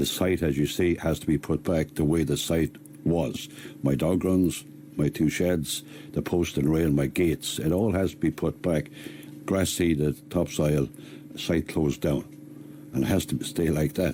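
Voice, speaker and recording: A man with a Tipperary accent speaks at a very deep, low pitch in a dark, mellow tone. His pace is moderate and his intonation fairly even. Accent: Irish, Tipperary. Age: 60s. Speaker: man facing eviction. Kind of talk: interview.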